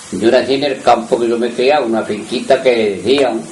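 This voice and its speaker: A man's medium-pitched voice with ordinary pitch variation, audible room echo, and noticeable background noise. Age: 80s+. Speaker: retired muleteer. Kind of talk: oral history interview.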